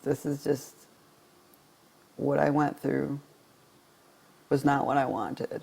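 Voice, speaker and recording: The voice is shaky and goes at a very slow pace. Long, frequent pauses break it up. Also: man. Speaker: vlogger. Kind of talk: personal vlog monologue. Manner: halting.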